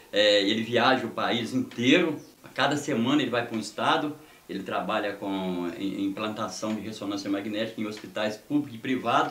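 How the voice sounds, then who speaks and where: Amid audible room echo and noticeable background noise, a man speaks at medium pitch and a moderate pace with ordinary pitch variation. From Brazil, Minas Gerais (Descoberto, rural). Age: 60s. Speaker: sports reporter and government aide. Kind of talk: interview, life story.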